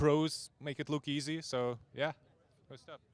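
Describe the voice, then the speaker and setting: Speaking with a Ukrainian accent, a man talks at a fairly quick pace and fairly high pitch, with fairly even intonation and a dry, close sound free of echo. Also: very clean recording, silent background. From Ukraine. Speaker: amateur motorcycle racer. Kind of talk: podium interview.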